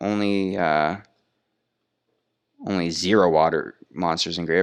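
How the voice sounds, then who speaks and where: In a very clean recording with a silent background, a man speaks with a very deep, low pitch and ordinary pitch variation. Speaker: card game youtuber. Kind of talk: gameplay commentary. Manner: fast.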